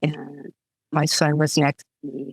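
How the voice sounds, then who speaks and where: The voice moves at a very slow pace with monotone, flat intonation, and the sound is dry and close with no echo. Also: woman. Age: 60s. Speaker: author. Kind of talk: casual chat.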